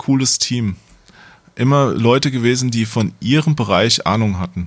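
A man has an ordinary speaking voice at a medium pitch with ordinary pitch variation. He talks at a fairly slow pace. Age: middle-aged. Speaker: games journalist. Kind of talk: casual chat.

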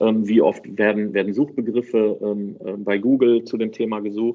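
This is a man speaking at a medium pitch. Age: 40s. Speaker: online marketing entrepreneur, deals portal founder. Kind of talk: podcast interview. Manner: hesitant, many fillers.

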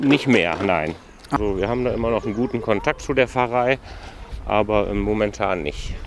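A man's medium-pitched voice varies in an ordinary way and keeps a moderate pace. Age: 40s. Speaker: youth employment project manager, trained hotel professional. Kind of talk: casual interview on a walk. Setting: outdoors walking through a city district.

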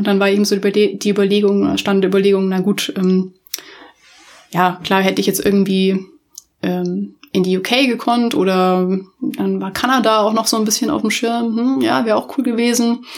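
At a moderate pace, a woman talks in a normal speaking voice with medium pitch and ordinary pitch variation. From Munich, Bavaria, Germany. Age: 30s. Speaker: podcast host, UX designer. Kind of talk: casual solo podcast monologue. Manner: informal, many filler words.

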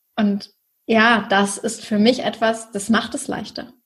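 At a fairly slow pace, a woman with a fairly high, somewhat breathy voice speaks with fairly even intonation. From northern Germany, near Hamburg (Schleswig-Holstein). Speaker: online business mentor. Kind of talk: interview.

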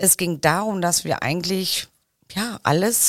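An unremarkable speaking voice from a woman at medium pitch and moderate pace, ordinary pitch variation, dry and close with no echo, in a very clean recording with a silent background. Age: 50s. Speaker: head of a company service department. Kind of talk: interview.

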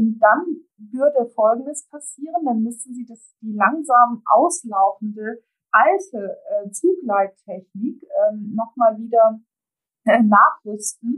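Big swings in loudness run through a woman's very slow speech, pitched fairly high with lively intonation. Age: 50s. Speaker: transport industry association executive. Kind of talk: interview. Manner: hesitant, many filler sounds.

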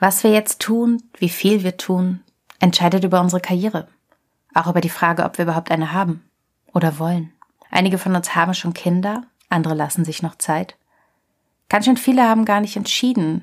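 At a fairly quick pace but with long, frequent pauses, a woman speaks with fairly low pitch and ordinary pitch variation. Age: 30s. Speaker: podcast host and journalist. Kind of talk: scripted narration.

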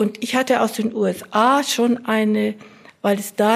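Very slow, fairly even speech from a woman with a fairly high-pitched voice. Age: 80s+. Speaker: retired sociology professor. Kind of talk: interview.

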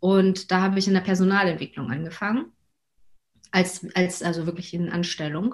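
A woman speaks at medium pitch and a moderate pace. Her voice is somewhat breathy, with ordinary pitch variation. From Hamburg, northern Germany. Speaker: coach and mother. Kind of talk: interview.

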